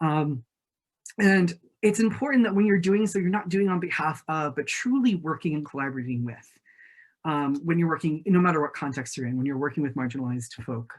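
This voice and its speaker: The voice moves at a fairly quick pace in a very clean recording with a silent background. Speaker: conference panelist, campus resource center staff. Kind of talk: conference presentation. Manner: fast.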